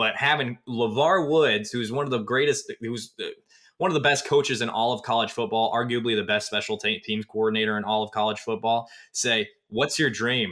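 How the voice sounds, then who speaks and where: A man with a plain, everyday voice talks at a fairly quick pace and medium pitch, with ordinary pitch variation. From Northwest Iowa. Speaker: sports recruiting analyst and podcast host. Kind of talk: casual sports podcast chat.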